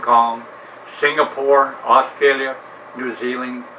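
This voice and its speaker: American-accented male speech against noticeable background noise. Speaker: retired navy veteran vlogger. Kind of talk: casual monologue.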